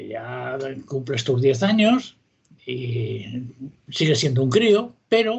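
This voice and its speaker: Very wide pitch swings from a man. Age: 70s. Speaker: author and history popularizer. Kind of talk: interview.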